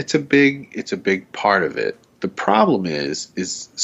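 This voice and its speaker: A man with a Southern US accent swings his pitch very widely as he talks. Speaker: podcast host. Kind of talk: casual chat. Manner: polished radio delivery.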